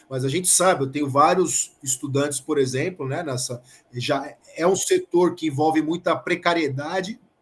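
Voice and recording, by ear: A man uses a put-on character voice, hoarse and fairly high in pitch. He speaks at a moderate pace.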